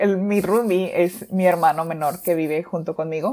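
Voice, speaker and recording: In a dark, mellow tone, a woman talks fairly slowly. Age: 20s. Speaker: podcast host. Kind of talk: casual monologue. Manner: halting.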